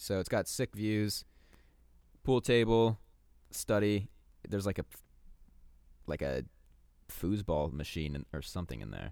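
With lively intonation and a Californian accent, a fairly low-pitched man speaks at a fairly slow pace, leaving long, frequent pauses. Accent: Californian American. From Southern California (Torrance). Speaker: podcast co-host. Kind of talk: casual chat.

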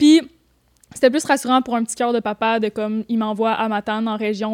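Fairly even intonation marks this woman's voice, recorded with a dry, close sound and no echo. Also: very clean recording, silent background. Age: 20s. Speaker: photographer and YouTuber. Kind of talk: casual chat.

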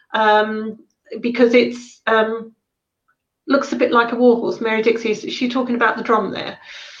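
A woman speaks in a southern English accent at a fairly high pitch. Her intonation is monotone and flat, and her pace is moderate. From Sussex, southern England. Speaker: shamanic healer and drum maker. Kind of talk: talk and Q&A on shamanism. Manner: hesitant, many fillers.

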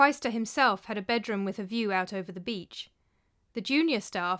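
With ordinary pitch variation, this is an unforced reading voice.

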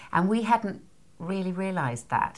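A woman's fairly low voice in a Scottish accent, at a moderate pace, on a very clean recording with a silent background. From Scotland. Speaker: parenting author and course leader. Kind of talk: casual interview chat.

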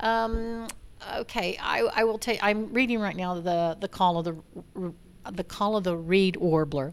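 Using a normal speaking voice, a woman talks at a medium pitch and moderate pace with ordinary pitch variation. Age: 60s. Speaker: rancher. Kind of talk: casual chat.

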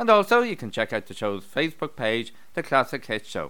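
A man talks in a warm, upbeat tone with very wide pitch swings. The recording is very clean, with a silent background. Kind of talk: radio DJ patter introducing songs on a community station. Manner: warm, upbeat and friendly, with bright, chatty, welcoming delivery.

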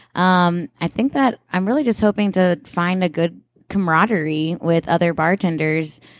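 A woman with an ordinary speaking voice talks at a fairly low pitch and a moderate pace, with ordinary pitch variation and very even loudness, in a dry, close sound with no echo. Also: very clean recording, silent background. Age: 20s. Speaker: bartender. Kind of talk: casual chat. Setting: recorded at a bar.

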